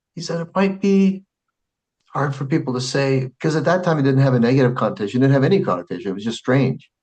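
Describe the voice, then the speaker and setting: Somewhat breathy, a man with a fairly high pitch speaks at a very fast pace. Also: lively intonation. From Arizona, US (Phoenix). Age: 50s. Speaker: Islamic scholar and school president. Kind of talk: casual interview chat.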